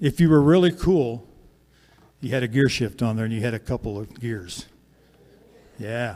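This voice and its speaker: Lively intonation marks a man's medium-pitched voice. His tone is dark and mellow, and his pace is moderate. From Kansas. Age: 60s. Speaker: singer and storyteller. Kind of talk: storytelling between songs. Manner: conversational.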